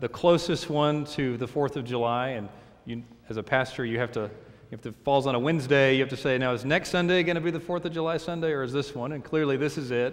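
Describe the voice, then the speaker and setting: His pitch shows ordinary variation. The man talks at a fairly quick pace. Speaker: pastor. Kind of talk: sermon. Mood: warm, upbeat. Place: church.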